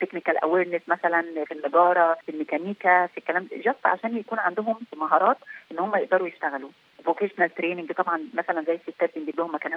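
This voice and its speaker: At a very fast pace, a woman with a fairly low voice speaks with fairly even intonation. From Egypt. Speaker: peacekeeping military officer. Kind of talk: interview.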